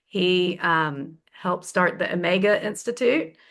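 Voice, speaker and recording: This woman talks with a Southern US accent. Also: quiet background. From US South. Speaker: feng shui consultant and teacher. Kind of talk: online class introduction. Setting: video call.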